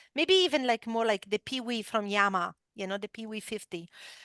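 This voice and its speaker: A woman with an Italian accent speaks at a fairly high pitch and moderate pace, with ordinary pitch variation, a dry, close sound with no echo, and a quiet background. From Italy. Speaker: esports company founder and former motorcycle racer. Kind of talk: interview storytelling. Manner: many filler words, hesitant.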